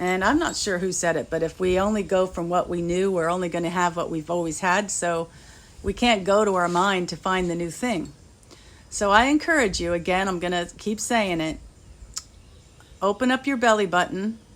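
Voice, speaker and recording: A woman speaks at a moderate pace in a normal speaking voice, with medium pitch and ordinary pitch variation. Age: 60s. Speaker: spiritual healer. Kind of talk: spiritual talk.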